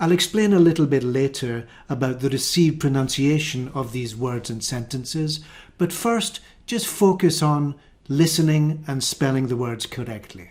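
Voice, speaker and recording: A man in a Scottish accent speaks at a fairly high pitch with ordinary pitch variation. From Scotland. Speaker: English teacher. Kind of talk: tutorial. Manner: clear, deliberate.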